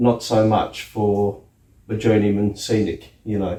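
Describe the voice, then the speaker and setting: In an Australian accent, a man with a dark, mellow tone and a somewhat breathy voice speaks fairly slowly at a fairly low pitch. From Australia, outback Queensland. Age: 60s. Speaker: scenic artist. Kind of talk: interview. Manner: casual, hesitant with fillers.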